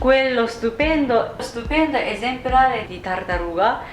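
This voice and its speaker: Talking at a very slow pace, a woman is heard with audible room echo and noticeable background noise. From Japan. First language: Japanese (speaking Italian). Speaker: YouTuber and singer. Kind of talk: reading aloud a folk tale. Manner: halting, stumbles on long words.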